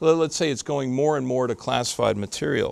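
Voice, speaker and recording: The speaker is a man with an American accent. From US Midwest, Chicago. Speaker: lawyer. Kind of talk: public talk.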